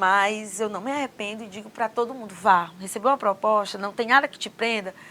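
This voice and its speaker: A woman speaks with a bright, sharp tone and ordinary pitch variation. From Northeast Brazil, Mossoró (Rio Grande do Norte). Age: 40s. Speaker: government official. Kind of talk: interview.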